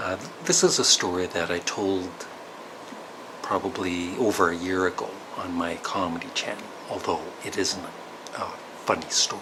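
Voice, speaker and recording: Over noticeable background noise, a quiet man with a Canadian accent talks at a moderate pace in a very deep, low, monotone voice, with long, frequent pauses. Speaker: vlogger. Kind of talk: personal storytelling vlog. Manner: hesitant.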